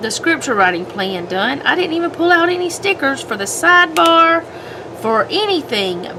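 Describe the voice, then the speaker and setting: Over noticeable background noise, a woman speaks at an extremely high pitch with very wide pitch swings. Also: moderate pace. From US South. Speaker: homemaking and planner vlogger. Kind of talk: casual chat while crafting. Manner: rambling, hesitant.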